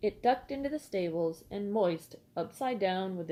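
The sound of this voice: Unforced reading voice.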